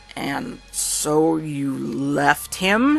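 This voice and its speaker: A put-on character voice at a middle pitch, with music in the background. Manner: slow, rigid, cold, disapproving.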